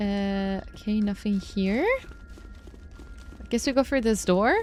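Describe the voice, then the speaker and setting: Speaking with a non-native accent, a woman talks at a fairly slow pace. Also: medium pitch for a woman, fairly even intonation. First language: not English. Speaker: gaming YouTuber. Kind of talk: let's play commentary.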